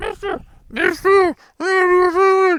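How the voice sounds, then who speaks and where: Putting on a character voice, a man speaks at a fairly slow pace in a squeaky, extremely high pitch. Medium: solo performance. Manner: eager, pleading.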